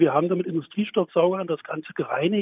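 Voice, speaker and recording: Speaking very fast in a Berlin accent, a man with a high pitch keeps fairly even intonation. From Berlin area, Germany. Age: 50s. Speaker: pride association volunteer. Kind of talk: radio interview. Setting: remote line to studio.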